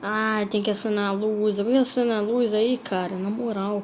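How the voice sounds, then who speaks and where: A woman with a Brazilian accent at a medium pitch and fairly slow pace, with audible room echo. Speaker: gaming youtuber. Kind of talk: gameplay commentary. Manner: animated.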